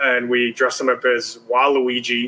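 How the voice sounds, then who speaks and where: A man with a strong Chicago accent at a fairly slow pace. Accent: thick Chicago. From US Midwest, Chicago. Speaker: TV producer. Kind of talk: interview.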